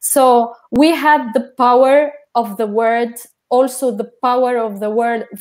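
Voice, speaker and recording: A woman with a non-native accent speaks at a very slow pace, her pitch fairly high and her intonation fairly even. The recording is very clean, with a silent background. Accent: foreign accent in Portuguese. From Jordan. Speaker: researcher in feminist studies. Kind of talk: panel talk. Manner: halting.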